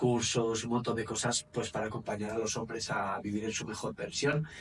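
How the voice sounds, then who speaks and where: The speaker has a Spanish accent and a moderate pace. The voice sounds somewhat breathy. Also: man, medium pitch for a man, fairly even intonation. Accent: Spanish (Spain). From Spain, Valencia area. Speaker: men's coach and therapist. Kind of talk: interview.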